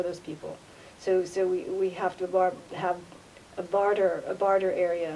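Over light background noise, a woman speaks with monotone, flat intonation. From United States. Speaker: vlogger. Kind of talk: casual monologue. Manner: halting. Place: hall. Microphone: webcam.

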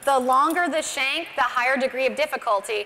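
Over light background noise, a woman talks fairly quickly in a high voice. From Montana. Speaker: barrel racer and horsemanship clinician; presenter. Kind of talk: tutorial. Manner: halting. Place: stage. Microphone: lapel.

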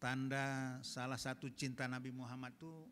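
Light background noise can be heard. A man with a medium pitch speaks in an animated tone. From Medan, North Sumatra (Batak); North Sumatra, Indonesia. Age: 60s. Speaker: Islamic preacher, retired diplomat; Islamic preacher. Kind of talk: sermon to women's study group. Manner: animated, direct, joking with audience. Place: church. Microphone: handheld.

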